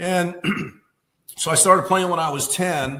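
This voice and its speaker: A man with an American accent amid audible room echo. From Michigan, Detroit area. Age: 60s. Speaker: music teacher and musician. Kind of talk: casual interview chat.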